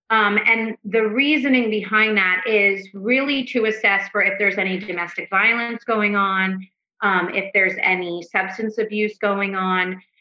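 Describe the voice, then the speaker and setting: A woman talks at a fairly slow pace with hardly any pauses and fairly even intonation, in a plain, everyday voice. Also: medium pitch for a woman. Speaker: couples therapist. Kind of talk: casual podcast interview. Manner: frequent filler words, loose rambling delivery.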